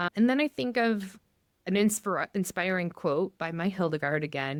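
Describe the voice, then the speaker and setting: A woman with an American accent talks at a moderate pace in an ordinary speaking voice, medium in pitch with lively intonation. The recording is very clean with a silent background and a dry, close sound with no echo. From US Midwest, Michigan. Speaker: pastor. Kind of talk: podcast interview.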